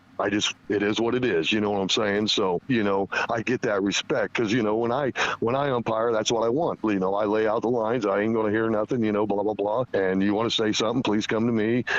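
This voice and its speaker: A man rattles along at a very fast pace with a fairly low pitch, monotone, flat intonation and very even loudness, over noticeable background noise. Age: 50s. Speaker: high school softball coach. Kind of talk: interview.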